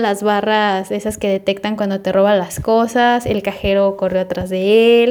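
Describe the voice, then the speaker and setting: On a very clean recording with a silent background, a woman with a Mexican accent and medium pitch speaks fairly slowly with fairly even intonation. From Mexico. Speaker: podcast host. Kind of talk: casual storytelling monologue.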